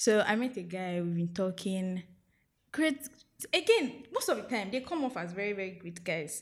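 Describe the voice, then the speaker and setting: A woman speaks with a Nigerian accent. Her intonation is lively. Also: medium pitch for a woman, moderate pace. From Nigeria, outside Lagos. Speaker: podcast guest. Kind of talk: casual chat.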